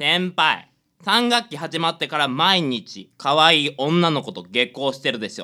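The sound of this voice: In a put-on character voice, a man speaks at a fairly slow pace with a fairly high pitch, a bright, sharp tone and lively intonation.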